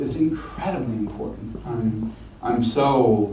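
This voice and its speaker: Noticeable background noise and audible room echo surround a man who speaks at a very slow pace. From Washington DC. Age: 60s. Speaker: son of a public official. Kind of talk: interview. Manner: halting.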